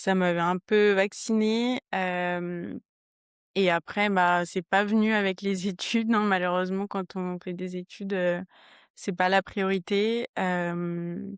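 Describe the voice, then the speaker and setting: This woman speaks very slowly at a medium pitch, her intonation monotone and flat. The sound is dry and close, with no echo. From southern France, Toulouse area. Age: 20s. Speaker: trail runner, accountant. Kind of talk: podcast interview. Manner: hesitant, many fillers.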